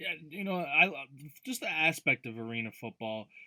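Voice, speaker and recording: Dry and close with no echo, this very clean recording with a silent background has a man speaking at a moderate pace in a bright, sharp tone. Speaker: podcast host. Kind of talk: interview question.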